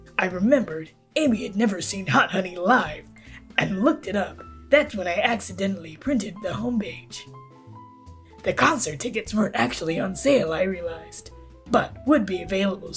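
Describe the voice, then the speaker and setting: In a put-on character voice, the speaker goes at a fairly quick pace and a middle pitch while clear music plays in the background. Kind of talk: game character voice acting. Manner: aloof, curt, dismissive.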